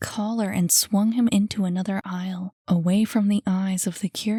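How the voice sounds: This is a natural reading voice. The intonation is fairly even.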